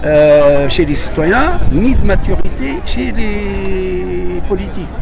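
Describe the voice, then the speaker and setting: A man's very slow speech with audible room echo and noticeable background noise. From Tunisia. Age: 70s. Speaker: interviewee at a protest. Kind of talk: street interview. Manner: halting, with repetitions.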